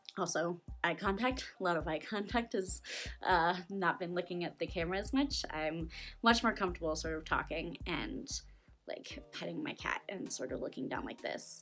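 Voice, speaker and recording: With music behind her, a woman talks at a medium tempo. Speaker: vlogger. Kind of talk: casual vlog. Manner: rambling, circling; hesitant, many fillers.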